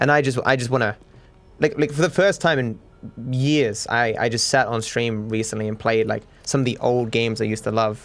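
Speaking at a fairly quick pace, a man has an Australian accent and a medium pitch. His intonation stays fairly even. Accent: cultivated Australian, soft R's. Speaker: gaming YouTuber. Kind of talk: casual chat, podcast. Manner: rambling, hesitant, filler words.

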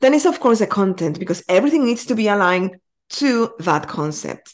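A woman speaks with a Spanish accent and lively intonation at a medium pitch. The background is quiet. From Mexico. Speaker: community building consultant. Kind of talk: podcast interview. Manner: animated.

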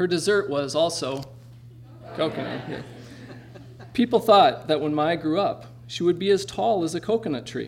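A man's high voice at a moderate pace, with lively intonation over noticeable background noise. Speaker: event host and producer. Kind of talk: stage introduction. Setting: stage with audience.

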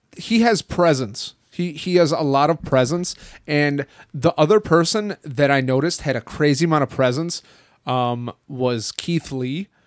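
A man's unremarkable speaking voice, fairly high in pitch with ordinary pitch variation, at a fairly slow pace, on a very clean, dry, close recording with a silent background and no echo. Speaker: shipping supervisor at a wrestling merchandise shop. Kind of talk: casual chat.

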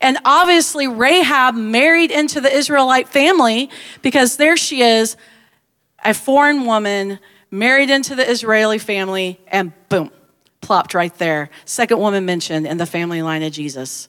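Speaking at a moderate pace with a Southern US accent, a woman uses a fairly high pitch, very wide pitch swings, and an animated, bright, sharp tone. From US Deep South. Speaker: pastor. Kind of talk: sermon.

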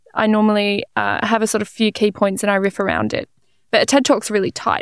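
The delivery is fairly quick and monotone, with flat intonation, in a very clean recording that is dry, close, and free of echo, with a silent background. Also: woman. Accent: Australian. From Australia (Melbourne). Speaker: physicist and science communicator. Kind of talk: casual interview.

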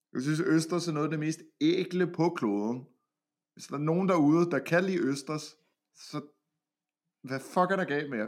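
At a fairly slow pace, a man speaks at a fairly high pitch with ordinary pitch variation. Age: 20s. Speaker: podcast co-host reviewing a reality TV show. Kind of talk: casual chat.

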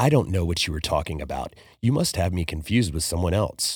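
A man in a put-on character voice talks at a very fast pace with a very deep, low pitch, on a very clean recording with a silent background. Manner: cold, menacing.

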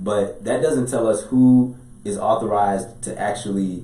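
Over noticeable background noise, a man talks in a room with audible echo. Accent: American. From Chicago. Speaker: business and real estate attorney. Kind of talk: podcast interview. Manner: talkative.

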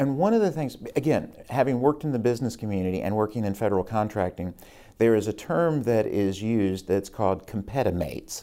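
With an American accent, a man talks at a very fast pace in a fairly low, dark, mellow voice with lively intonation. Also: very clean recording, silent background. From Virginia, Rockbridge County (Shenandoah Valley). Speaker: state legislator. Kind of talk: interview.

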